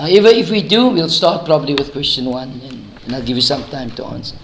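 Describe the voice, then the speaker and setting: With audible room echo and noticeable background noise, a fairly high-pitched man talks at a fairly quick pace. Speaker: maths teacher. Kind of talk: lesson.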